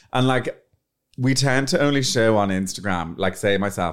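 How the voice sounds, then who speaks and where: A man speaks in an Irish accent with ordinary pitch variation. The recording is very clean, with a silent background. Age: 30s. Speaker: PR agency owner and influencer. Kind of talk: casual interview chat. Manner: animated.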